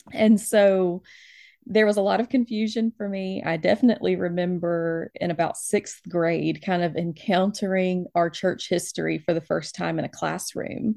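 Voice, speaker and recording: A dark, mellow voice with an American accent at a moderate pace, ordinary pitch variation, a dry, close sound with no echo and a very clean recording with a silent background. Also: woman, medium pitch for a woman. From US South, Alabama. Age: 30s. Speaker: librarian and church elder. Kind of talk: interview.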